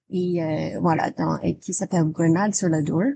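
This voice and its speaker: A woman's dark, mellow voice with an American accent, at a fairly slow pace. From United States. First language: English (speaking French). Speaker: English teacher. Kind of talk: interview. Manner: halting, many hesitations.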